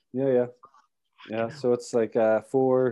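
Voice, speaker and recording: Dark and mellow in tone, the voice moves at a very slow pace with monotone, flat intonation. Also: man. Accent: Irish. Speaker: podcast host, cyclist. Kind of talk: casual chat.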